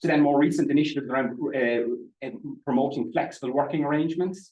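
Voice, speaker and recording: A man with an Irish Midlands accent talks at a very fast pace, with audible room echo. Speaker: statistician presenting research. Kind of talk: conference presentation. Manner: halting, frequent repetitions and fillers.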